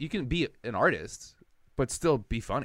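With vocal fry and an American accent, a man speaks over a silent background in a very clean recording. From Milwaukee, Wisconsin. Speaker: comedian. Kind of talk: casual chat.

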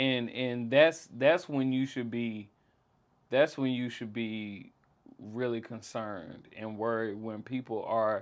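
Over a quiet background, a man of medium pitch talks at a fairly slow pace with fairly even intonation. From Jackson, Mississippi. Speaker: rapper. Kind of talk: casual interview.

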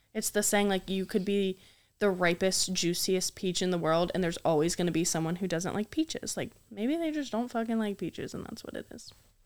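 A woman with an ordinary speaking voice talks fairly quickly at a medium pitch. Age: 20s. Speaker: podcast co-host. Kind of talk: casual chat.

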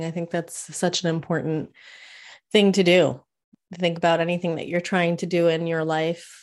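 A woman with an American accent speaks at a moderate pace, her pitch fairly low. Her intonation is monotone and flat, and the recording is very clean with a silent background. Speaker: podcast host and business coach. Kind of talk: interview. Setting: live stream.

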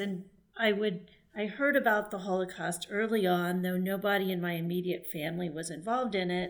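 Using a plain, everyday voice, a woman speaks at a moderate pace and a medium pitch. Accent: American. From Texas. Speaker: writer and former journalist. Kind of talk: podcast interview. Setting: remote call.

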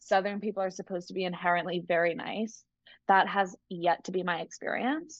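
With an American accent, a woman in a normal speaking voice talks at a fairly quick pace, her medium pitch showing ordinary variation. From Massachusetts, US. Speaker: podcaster. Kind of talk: casual chat.

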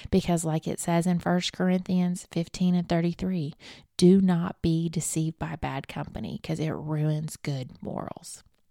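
With a Southern US accent, a woman talks at a moderate pace in a fairly low pitch, her tone warm, upbeat, dark and mellow. The recording is very clean, with a silent background and a dry, close sound with no echo. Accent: Southern US, noticeable. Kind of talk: devotional podcast talk, encouraging. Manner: warm, upbeat, animated.

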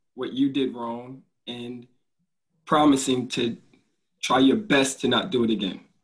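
Speaking at a fairly slow pace, a man with an American accent has a medium pitch and ordinary pitch variation. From Newark, New Jersey. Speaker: teacher. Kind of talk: casual game show chat.

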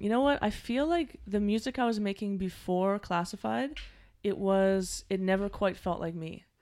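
At a moderate pace, a woman with a Maritime Canadian accent talks at a medium pitch with lively intonation. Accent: Canadian (Maritimes). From Halifax, Nova Scotia, Canada. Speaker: singer-songwriter. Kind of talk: interview.

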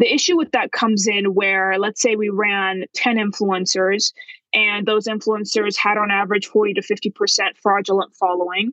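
A woman with a normal speaking voice talks at a moderate pace and medium pitch, her intonation fairly even and her loudness very even. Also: dry, close sound with no echo. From Canada, Vancouver. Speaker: marketing agency founder. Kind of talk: casual interview.

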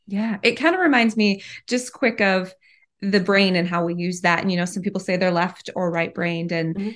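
A woman's unremarkable speaking voice at medium pitch, fairly quick pace and quiet background. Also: ordinary pitch variation. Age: 30s. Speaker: podcast host. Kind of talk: interview.

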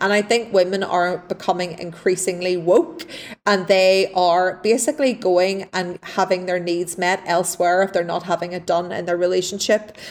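A woman with an Irish accent at medium pitch and a moderate pace, fairly even in intonation with hardly any pauses, over noticeable background noise. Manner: laughs often, candid.

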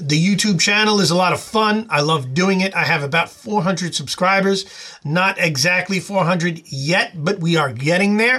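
Amid noticeable background noise, a man with a high pitch keeps very even loudness, a moderate pace and ordinary pitch variation. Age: 40s. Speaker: youtuber and podcast host. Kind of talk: solo podcast monologue. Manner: hesitant with frequent filler words.

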